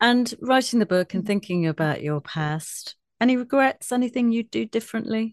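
Lively intonation marks a woman's fairly high voice, a normal speaking voice at a moderate pace. The sound is dry and close, with no echo. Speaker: radio presenter. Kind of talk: radio interview. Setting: radio studio.

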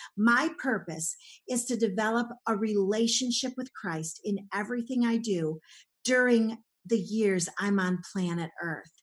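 Her fairly high, somewhat breathy voice carries an animated tone and ordinary pitch variation as this woman speaks. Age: 60s. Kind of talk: interview.

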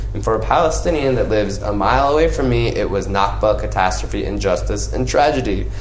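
With hardly any pauses, a man in an American accent talks at a fairly quick pace against noticeable background noise. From US, Los Angeles. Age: 30s. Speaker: educator on geopolitics, podcast co-host. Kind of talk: casual discussion. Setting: at a home, in person.

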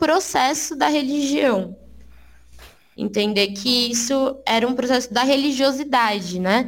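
A woman speaks at a high pitch with lively intonation and a fairly slow pace. Audible room echo surrounds her voice. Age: 20s. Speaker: guest. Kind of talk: casual chat.

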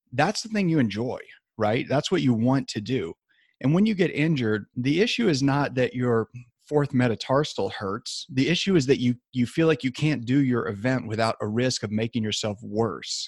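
Recorded very cleanly with a silent background and a dry, close sound with no echo, a man with a normal speaking voice speaks at a medium pitch and a moderate pace with lively intonation. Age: 50s. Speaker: sports medicine doctor. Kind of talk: interview. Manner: casual with fillers.

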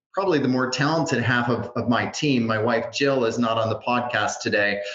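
A man speaks in a normal speaking voice. His pitch is medium and his intonation fairly even. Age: 40s. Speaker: franchise consultant. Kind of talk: interview podcast.

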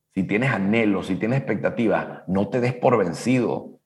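Vocal fry at a fairly slow pace. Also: man. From Latin America. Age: 50s. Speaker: business coach. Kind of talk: casual chat.

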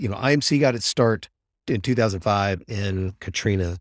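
A man with an American accent speaks at a moderate pace in a normal speaking voice. His pitch variation is ordinary, and the recording is very clean with a silent background. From US South (Mississippi). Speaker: humanitarian aid medical coordinator. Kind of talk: interview.

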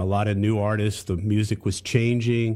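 A man with an American accent speaks at a moderate pace, his pitch fairly low and his tone dark and mellow. The recording is very clean, with a silent background. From US South, Charlotte, North Carolina. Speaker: music industry executive. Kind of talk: casual chat.

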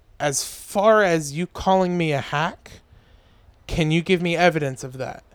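The recording is very clean, with a silent background. A man talks at a fairly slow pace. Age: 20s. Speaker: stand-up comedian. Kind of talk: casual chat.

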